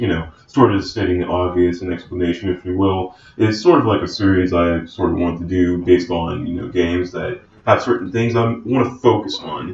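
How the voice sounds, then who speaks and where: Very deep, low pitch from a somewhat breathy man, fairly quick in pace, with ordinary pitch variation. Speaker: gaming YouTuber. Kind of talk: casual gameplay commentary.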